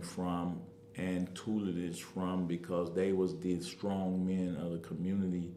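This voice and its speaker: Noticeable background noise and audible room echo accompany a man speaking at a very deep, low pitch. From Chicago, South Side (Englewood). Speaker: community activist and political candidate. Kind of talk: interview.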